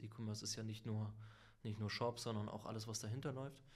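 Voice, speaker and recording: Monotone, flat intonation runs through the speech. The speaker is a man. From northern Germany, Lübeck. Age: middle-aged. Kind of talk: interview.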